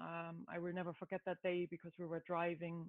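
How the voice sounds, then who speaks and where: Speaking with a German accent, a woman talks at a fairly low pitch. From Germany. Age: 30s. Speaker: new mother. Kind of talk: casual chat.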